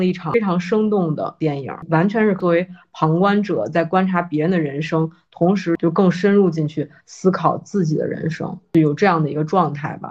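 A woman with a normal speaking voice, fairly low pitch, ordinary pitch variation and a moderate pace. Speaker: podcast guest co-host. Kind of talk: casual chat.

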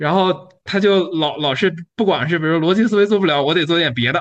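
This man's high voice carries lively intonation at a moderate pace. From Yunnan, China (Kunming). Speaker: entrepreneur. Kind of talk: casual chat.

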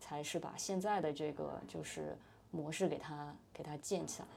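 Audible room echo surrounds a woman with a very deep, low pitch. Her tone is dark and mellow, and her pace is moderate. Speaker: startup employee, former management consultant. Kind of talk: casual interview chat.

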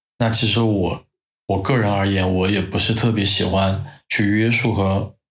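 In a very clean recording with a silent background, a man speaks with a somewhat breathy voice at a fairly low pitch. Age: 30s. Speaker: podcast guest, host's longtime friend. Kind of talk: casual chat.

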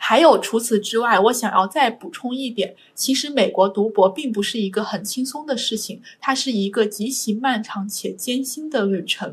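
A woman's fairly high, somewhat breathy voice at a moderate pace, with ordinary pitch variation and hardly any pauses. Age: 20s. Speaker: PhD student. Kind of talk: interview.

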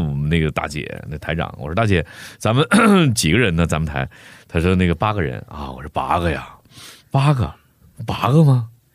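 This man's intonation is lively, with vocal fry. He talks at a fairly quick pace. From Heilongjiang, northeast China. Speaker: voice actor. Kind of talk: casual chat.

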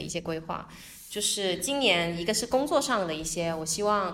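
With lively intonation, a woman talks at a medium pitch. Noticeable background noise and audible room echo surround her voice. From Guangdong, Zhuhai. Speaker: entrepreneur and international volunteer. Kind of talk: casual interview chat.

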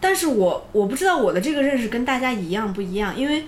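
A woman speaks at a fairly quick pace with a fairly high pitch and very wide pitch swings, with audible room echo and noticeable background noise. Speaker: podcast co-host. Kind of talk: casual chat.

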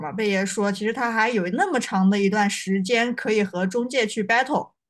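A woman with a normal speaking voice talks at a moderate pace, her pitch fairly high. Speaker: podcast host. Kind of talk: casual chat. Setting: video call.

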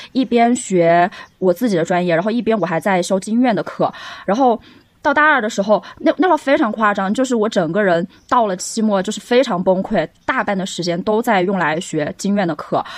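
The delivery comes at a fairly quick pace with lively intonation. It is an unremarkable speaking voice. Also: woman, medium pitch for a woman. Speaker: podcast co-host, English teacher. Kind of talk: casual chat.

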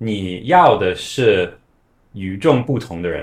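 The man's speech comes out somewhat breathy. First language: not Chinese, foreign-born (speaking Chinese). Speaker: company founder, former Chinese video influencer. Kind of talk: casual interview.

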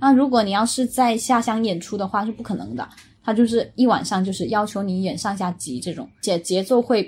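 A woman with a fairly high pitch and a somewhat breathy voice speaks at a fairly quick pace with ordinary pitch variation. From Jieyang, Chaoshan, Guangdong. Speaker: Chinese opera enthusiast guest. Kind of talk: casual chat.

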